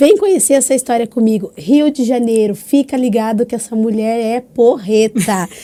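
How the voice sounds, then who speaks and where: A plain, everyday voice from a woman, fairly high in pitch, with ordinary pitch variation, a moderate pace and hardly any pauses. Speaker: podcast host. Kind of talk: casual podcast conversation.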